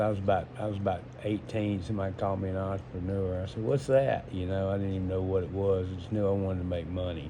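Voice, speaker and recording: Amid audible room echo, a man speaks very fast in a fairly low pitch with fairly even intonation. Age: 60s. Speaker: entrepreneur. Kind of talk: casual monologue. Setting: smoking while talking. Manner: halting.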